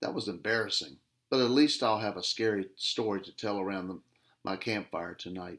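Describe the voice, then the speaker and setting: In a booming, growling put-on character voice, a man speaks at a fairly low pitch and a fairly quick pace on a very clean recording with a silent background. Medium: read story.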